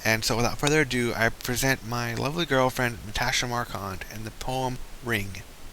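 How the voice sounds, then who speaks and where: A man at medium pitch and a moderate pace, with fairly even intonation and noticeable background noise. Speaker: creative writing student. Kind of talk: casual spoken presentation. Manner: halting, stammering.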